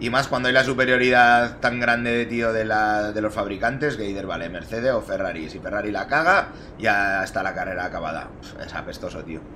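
A man talks at a fairly quick pace, with big swings in loudness. Light background noise sits behind him. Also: medium pitch for a man, ordinary pitch variation. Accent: Spanish. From Spain. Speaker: sim racing streamer. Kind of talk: live gameplay commentary. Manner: casual, animated. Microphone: headset.

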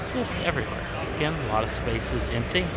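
A man talks at a fairly quick pace. The sound is dry with no echo, but loud background noise is present. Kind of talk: casual walkthrough commentary. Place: hall. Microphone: phone near.

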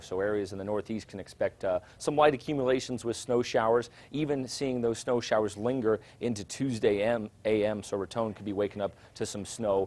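The delivery from this man is fairly quick. His pitch shows ordinary variation. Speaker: weather forecaster. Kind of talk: weather forecast broadcast, conversational but informative. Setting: studio. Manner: relaxed and conversational with occasional fillers. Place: studio.

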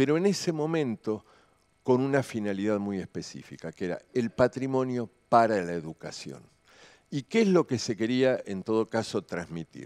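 A man speaks at a moderate pace in a medium pitch, with very wide pitch swings. The background is quiet. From Argentina. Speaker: architect, heritage professor; heritage professor. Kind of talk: conference talk. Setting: conference stage with audience. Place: hall. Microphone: headset.

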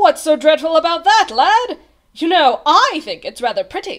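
A woman's put-on character voice, extremely high and fairly bright, with big pitch swings. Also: moderate pace.

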